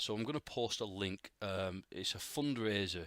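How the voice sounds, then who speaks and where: A man's bright, sharp, fairly low voice is captured dry and close with no echo, on a very clean recording with a silent background. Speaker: podcast host, game developer. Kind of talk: solo podcast monologue. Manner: casual, halting with fillers.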